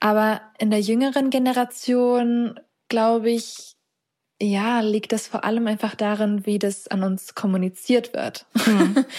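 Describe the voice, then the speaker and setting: Dark, mellow tone at a very slow pace with fairly even intonation. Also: woman, fairly high pitch for a woman. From Germany. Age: 20s. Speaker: coder and author. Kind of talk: interview. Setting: video call. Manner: hesitant, many fillers.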